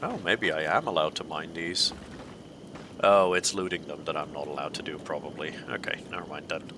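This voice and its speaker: Noticeable background noise sits under a man's very deep, low voice. He speaks at a fairly quick pace with fairly even intonation. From Netherlands. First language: Dutch. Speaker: video game streamer. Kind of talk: live game commentary.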